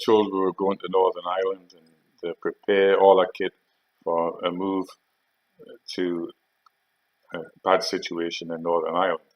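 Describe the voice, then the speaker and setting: A man with a Geordie accent speaks with big swings in loudness. Long, frequent pauses break up his speech. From North East England (Geordie). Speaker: army veteran. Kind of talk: storytelling monologue. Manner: halting.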